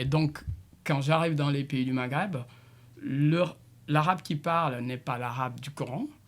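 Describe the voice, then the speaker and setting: With long, frequent pauses, a man talks at a fairly slow pace in a fairly high pitch and fairly even intonation. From Senegal, Casamance. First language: Diola (speaking French). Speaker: multidisciplinary artist and musician. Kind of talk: radio interview. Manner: halting, with many repetitions.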